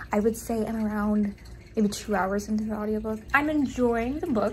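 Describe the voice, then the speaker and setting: Noticeable background noise and audible room echo surround the speech. A woman talks at a fairly quick pace, fairly high in pitch, with ordinary pitch variation. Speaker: book youtuber. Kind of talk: casual vlog.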